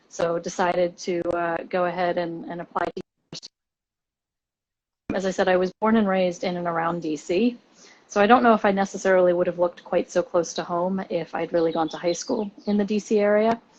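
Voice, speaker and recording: A fairly quick pace with a slight English accent. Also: woman, fairly low pitch for a woman, fairly even intonation. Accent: slight English accent in some words. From Washington DC and England. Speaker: university admissions director. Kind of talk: interview.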